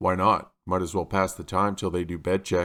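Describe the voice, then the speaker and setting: A man uses a put-on character voice, very deep and low, with monotone, flat intonation at a moderate pace. The recording is very clean, with a silent background. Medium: audio drama. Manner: terse, laconic.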